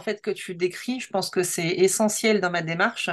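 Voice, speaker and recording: Fairly slow delivery with fairly even intonation over a quiet background. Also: woman. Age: 30s. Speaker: designer and creative coach. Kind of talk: interview. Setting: video call. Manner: halting.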